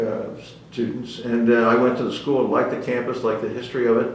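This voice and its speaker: A man with an American accent speaks very fast in a medium pitch and a monotone, flat intonation. The room echo is audible, and the background noise is noticeable. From US Northeast (New Jersey / Philadelphia area). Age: 80s+. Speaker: retired navy officer, war veteran. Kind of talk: oral history interview. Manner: halting, many fillers.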